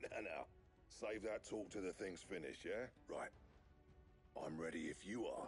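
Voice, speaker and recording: Putting on a raspy character voice, a man talks at a moderate pace with very even loudness and long, frequent pauses while clear music plays in the background. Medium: video game. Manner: gruff, plainspoken.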